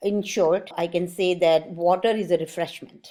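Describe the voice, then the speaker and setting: With a dark, mellow tone, a woman talks at a fairly low pitch and with ordinary pitch variation. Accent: Indian. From born in India, grew up in Germany. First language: Sanskrit. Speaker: art channel host, mandala artist. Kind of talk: explanatory talk to camera.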